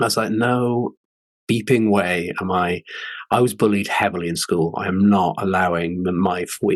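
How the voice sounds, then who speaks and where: Against a quiet background, a man with a very deep, low pitch speaks at a moderate pace with fairly even intonation. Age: 40s. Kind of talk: personal story in interview.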